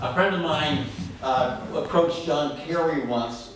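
Over light background noise and strong room echo, a man speaks at a fairly slow pace with ordinary pitch variation. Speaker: poet at open reading. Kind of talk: spoken introduction then poetry reading. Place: stage. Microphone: camera far.

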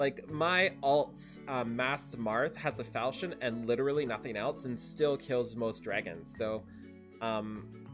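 A man's voice with clear music in the background. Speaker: gaming video creator. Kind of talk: casual commentary. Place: home room.

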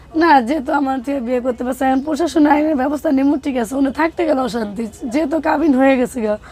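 Noticeable background noise sits behind a woman whose voice is pitched high. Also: ordinary pitch variation. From Bangladesh, Habiganj. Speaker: interviewee, single mother. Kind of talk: personal testimony interview. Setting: on location in Dhaka, Moghbazar. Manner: soft-spoken.

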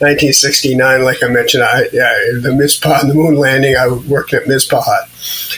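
A man's fairly high voice in a monotone, with flat intonation, over noticeable background noise. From New England. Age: 70s. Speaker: veteran mountain rescuer. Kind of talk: interview.

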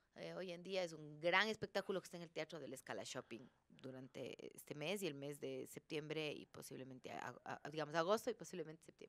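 A woman speaks with a very deep, low pitch and vocal fry, her loudness swinging widely. She goes at a fairly quick pace with hardly any pauses. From Ecuador, Cuenca; Ecuador. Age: 40s. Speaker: actress. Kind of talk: casual chat. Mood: relaxed, reflective. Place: studio. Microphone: studio mic.

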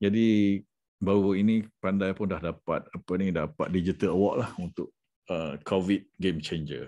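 Against a quiet background, a man with a very deep, low pitch and a dark, mellow tone speaks fairly slowly, keeping his intonation fairly even. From Malaysia. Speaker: education sales consultant. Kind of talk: sales pitch. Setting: screen-share presentation. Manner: casual, with fillers. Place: home room. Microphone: webcam.

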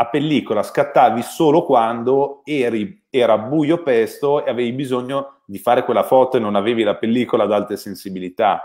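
Against a quiet background, a man talks at a moderate pace with hardly any pauses. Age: 30s. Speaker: camera expert; guest. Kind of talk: technical discussion. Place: home room.

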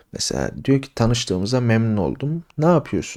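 A man speaks in an ordinary speaking voice at a fairly slow pace with lively intonation. The recording is very clean, with a silent background. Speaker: English teacher. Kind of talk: tutorial. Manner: casual.

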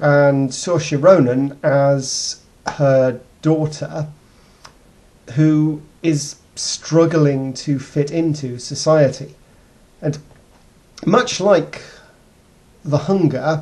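Very slow and marked by long, frequent pauses, a man's somewhat breathy voice has a dark, mellow tone and fairly even intonation. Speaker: video blogger. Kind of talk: casual vlog film review. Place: home room. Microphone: webcam.

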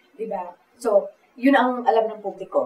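A woman talks at a medium pitch. Audible room echo surrounds her voice. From Philippines. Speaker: talk show host. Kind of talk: interview. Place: cafe.

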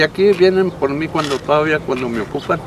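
A man speaks at a fairly slow pace. The sound is dry with no echo, but background noise is noticeable. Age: 70s. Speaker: retired heavy machine operator. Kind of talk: interview answer. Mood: warm, reminiscing, amused. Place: open country.

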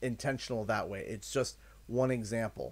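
Speaking with a Canadian accent, a man keeps a moderate pace. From Canada. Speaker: gaming streamer. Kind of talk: livestream chat. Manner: repetitive, thinking aloud. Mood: earnest, apologetic, reflective. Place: home room. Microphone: studio mic.

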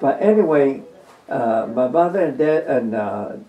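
Fairly high-pitched male speech with lively intonation over noticeable background noise. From New Mexico. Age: 90s. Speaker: war veteran. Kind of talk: interview. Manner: halting.

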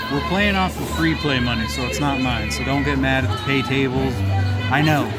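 Loud music plays in the background as the speaker keeps a moderate pace. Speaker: gambling vlogger. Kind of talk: casual vlog chat. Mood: relaxed, upbeat. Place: bar. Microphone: phone near.

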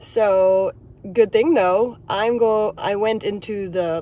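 A dark, mellow tone in a dry sound with no echo. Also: woman. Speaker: hiking vlogger, dance teacher. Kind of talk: casual vlog chat. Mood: cheerful, excited. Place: car. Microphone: phone near.

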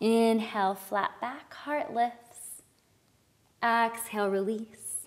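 At a very slow pace, a woman speaks in a calm, soothing tone at a fairly high pitch. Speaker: yoga instructor. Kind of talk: guided yoga instruction, breath-cued flow. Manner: calm, soothing, slow breath-paced cues; gentle, reflective and encouraging. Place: studio.

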